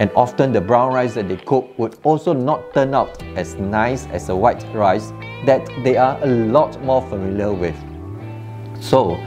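Fairly slow speech over clear background music. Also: man. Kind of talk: tutorial. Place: kitchen. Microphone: lapel.

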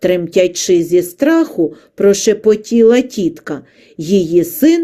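The reading voice here sounds natural.

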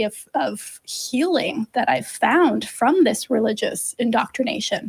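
Against a quiet background, a woman speaks in a high voice. Her intonation is lively. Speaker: co-host of call-in show. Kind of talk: explanatory answer to a caller. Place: studio. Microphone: studio mic.

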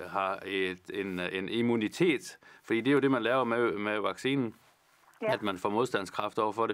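A man speaks with a Jutlandic accent. He goes at a fairly slow pace with ordinary pitch variation. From Vendsyssel, northern Jutland, Denmark; Denmark. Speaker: politician. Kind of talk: Q&A answering viewer questions. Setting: studio, alone. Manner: halting, many fillers. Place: studio. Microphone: lapel.

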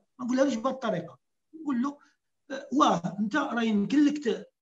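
A man speaks at an extremely high pitch. His pace is fairly quick, over a quiet background. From Morocco. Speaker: caller; guest. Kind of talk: casual chat. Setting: phone call. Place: home room. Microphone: video call.

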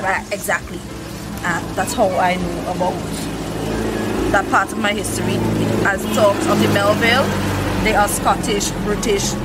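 A woman at a moderate pace, with long, frequent pauses and loud background noise. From Saint Vincent. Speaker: cook. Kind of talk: interview answer. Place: street.

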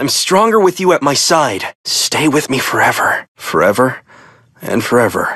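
A man puts on a character voice at medium pitch, bright and sharp with a slightly husky edge. His pitch swings widely and his pace is fairly slow.

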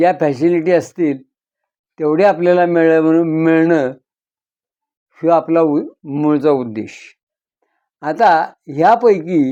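Against a quiet background, a man with a dark, mellow tone speaks at a fairly high pitch with ordinary pitch variation. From Maharashtra, Satara district. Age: 80s+. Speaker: farmer and sugar cooperative member. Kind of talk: interview.

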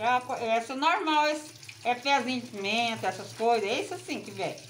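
Against light background noise, a woman speaks at a high pitch and a moderate pace. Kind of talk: tutorial. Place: kitchen.

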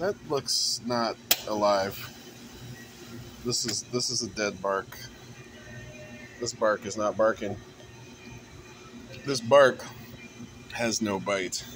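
A man speaks at a very slow pace with long, frequent pauses while music plays in the background. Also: fairly even intonation. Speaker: vlogger. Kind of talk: casual vlog chat. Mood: playful, joking. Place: shop. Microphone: phone near.

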